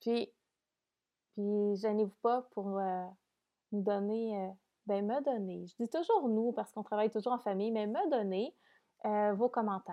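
A woman's fairly high voice at a fairly slow pace, broken by long, frequent pauses. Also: ordinary pitch variation. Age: 30s. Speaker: podcast host. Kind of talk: casual monologue. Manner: hesitant, many fillers.

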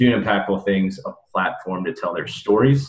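A man with an American accent and an unremarkable speaking voice talks at a fairly quick pace, his fairly low pitch and intonation fairly even. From US Midwest. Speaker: podcast host. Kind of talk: casual interview. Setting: remote recording.

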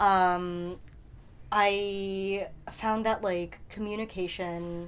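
A woman with an American accent talks at a medium pitch in a flat, monotone way. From New York suburbs. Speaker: oral history interviewee, union activist. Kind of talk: oral history interview. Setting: university office. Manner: hesitant, many fillers.

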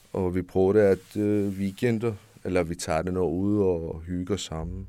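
A man's very deep, low voice delivers monotone, flat intonation on a very clean recording with a silent background. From Iran. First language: Persian (speaking Danish). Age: 30s. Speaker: refugee, home care worker. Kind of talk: interview. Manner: halting.

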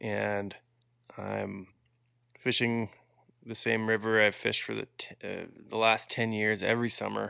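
Over a quiet background, a man talks at a fairly slow pace with long, frequent pauses. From Manitoba, Canada. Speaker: singer-songwriter and fly fisher. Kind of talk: casual interview chat.

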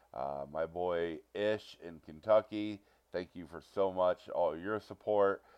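A man talks with an American accent. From Ohio, US Midwest. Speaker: podcast host and stand-up comedian. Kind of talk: casual monologue. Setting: home recording on a budget.

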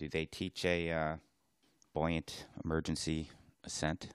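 Against a quiet background, a man speaks with vocal fry at a very deep, low pitch. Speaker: diving podcast co-host, dive instructor. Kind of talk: casual chat. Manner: soft-spoken.

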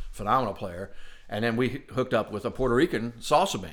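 A man with an American accent talks at a moderate pace, using a medium pitch and lively intonation. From US Midwest, southwest Ohio. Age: 50s. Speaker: trumpet player. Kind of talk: interview conversation. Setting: studio.

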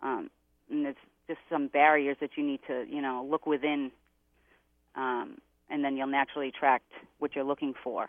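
Speaking in a Boston accent at a moderate pace, the voice stays monotone and flat. Long pauses come often. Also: woman, very deep, low pitch for a woman. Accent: Boston-area Massachusetts. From Massachusetts. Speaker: psychic. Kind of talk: psychic readings for callers.

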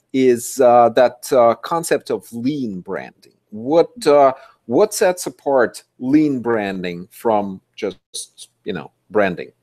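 Speaking at a very slow pace, a man with a medium pitch uses lively intonation in a dry, close sound with no echo. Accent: non-native. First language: not English. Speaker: podcast host. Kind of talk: interview. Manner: halting.

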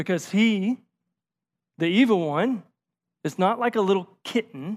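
A fairly slow, high-pitched man with a Tennessee accent and lively intonation, on a very clean recording with a silent background. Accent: Southern US (Tennessee). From rural Tennessee, north of Nashville. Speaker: associate pastor. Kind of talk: sermon.

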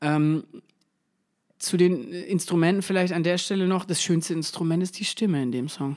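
The speaker goes at a moderate pace with ordinary pitch variation. Long pauses come often. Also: man, high pitch for a man. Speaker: music podcast co-host. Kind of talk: casual chat. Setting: home recording, not a studio.

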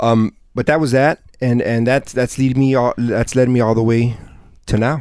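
A man with an American accent speaks at a moderate pace and medium pitch, keeping his loudness very even. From Southgate, Los Angeles area, California. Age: 30s. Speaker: entrepreneur. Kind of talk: casual interview. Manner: repetitive, halting.

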